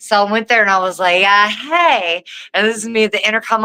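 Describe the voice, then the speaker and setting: A woman's bright, sharp, fairly high voice at a moderate pace, in a rural Southern US accent. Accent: Southern rural American. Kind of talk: informal, colloquial. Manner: casual, hesitant, many fillers.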